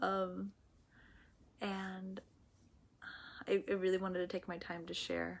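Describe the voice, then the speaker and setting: This woman's fairly low voice stays monotone and flat throughout. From Mexico. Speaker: platonic touch and cuddling specialist. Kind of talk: vlog monologue.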